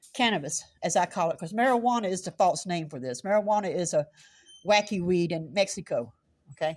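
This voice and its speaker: With a South Carolina accent and lively intonation, a woman speaks at a fairly quick pace on a very clean recording with a silent background. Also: medium pitch for a woman. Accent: Southern US (South Carolina). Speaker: citizen journalist. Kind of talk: confrontational street vlog. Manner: loud.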